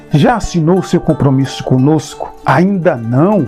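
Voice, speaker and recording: Against music in the background, a man with a fairly high pitch talks with ordinary pitch variation. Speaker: channel owner and presenter. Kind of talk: casual talk to camera, video intro.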